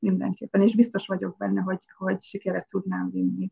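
This woman speaks at a moderate pace, and the sound is dry and close with no echo. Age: 50s. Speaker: stylist and former basketball player. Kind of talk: casual interview.

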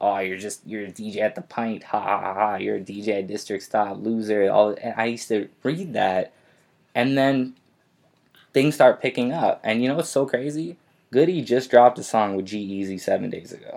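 On a very clean recording with a silent background, a man with a Canadian accent and an unremarkable speaking voice talks at a medium pitch and a moderate pace with ordinary pitch variation. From Canada, Winnipeg. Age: 20s. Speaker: DJ and recording artist. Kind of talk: interview. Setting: studio.

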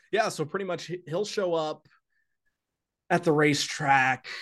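A man's normal speaking voice in an American accent, with ordinary pitch variation, a moderate pace and a quiet background. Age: 20s. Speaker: horse racing track announcer. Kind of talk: casual interview.

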